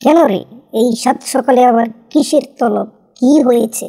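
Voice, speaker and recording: Cartoonish character voice, female-sounding and high-pitched, at a moderate pace. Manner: sly, playful.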